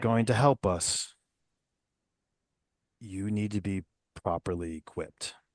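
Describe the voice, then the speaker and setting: In a put-on character voice, a man speaks at a fairly slow pace with long, frequent pauses, his pitch fairly low and its variation ordinary. The sound is dry and close with no echo, and the background is quiet. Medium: actual play. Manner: measured, sincere.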